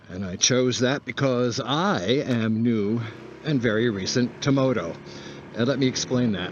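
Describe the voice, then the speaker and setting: Noticeable background noise sits behind a man speaking at a fairly slow pace in a medium pitch. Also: ordinary pitch variation. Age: 70s. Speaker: motovlogger. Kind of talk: casual monologue while riding. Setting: outdoors riding a scooter.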